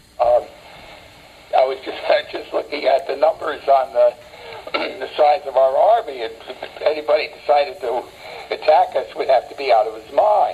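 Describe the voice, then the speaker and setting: A man with an American accent, long, frequent pauses, and noticeable background noise. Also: moderate pace. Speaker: war veteran. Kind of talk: interview answer. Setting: phone line. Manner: spontaneous, hesitant, lecturing.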